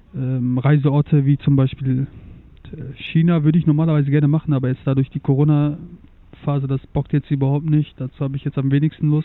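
Here a man talks at a moderate pace. His fairly high voice is monotone, with flat intonation. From Germany, Turkish family. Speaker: guest, automotive industry worker. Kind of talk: casual chat. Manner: halting, many fillers.

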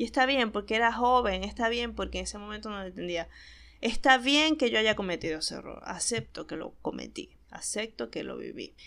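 A woman with a Maracaibo Venezuelan accent speaks fairly fast in an animated tone, her loudness swinging widely. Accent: Maracaibo Venezuelan Spanish, voseo. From Venezuela, Maracaibo. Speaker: podcast host. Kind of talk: casual monologue.

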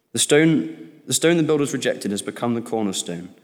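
Using an ordinary speaking voice, a man talks at a fairly quick clip. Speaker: scripture reader. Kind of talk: reading aloud. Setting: church.

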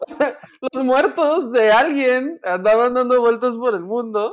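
Speaking at a fairly slow pace, a woman with a Mexican accent has a fairly high pitch. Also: very clean recording, silent background. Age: 30s. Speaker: podcast host. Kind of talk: casual chat.

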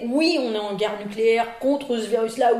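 Noticeable background noise and audible room echo around a woman's fairly high voice at a moderate pace. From Paris region, France. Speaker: virology professor and physician. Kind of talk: interview.

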